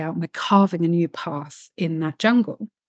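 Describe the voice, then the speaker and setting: A woman with a plain, everyday voice talks at a fairly slow pace with ordinary pitch variation, her sound dry and close with no echo over a quiet background. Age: 40s. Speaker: spiritual coach and mystic artist. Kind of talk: casual interview chat.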